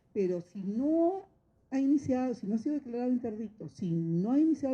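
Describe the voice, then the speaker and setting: With a dark, mellow tone, a high-pitched woman speaks at a fairly quick pace, her pitch swinging very widely. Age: 60s. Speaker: notary. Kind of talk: course lecture talk. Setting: training course with audience of judges.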